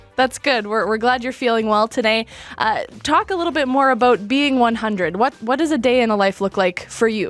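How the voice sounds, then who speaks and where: With music in the background, a woman speaks at a fairly quick pace and a fairly high pitch, using ordinary pitch variation. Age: 20s. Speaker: interviewer. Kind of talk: interview question.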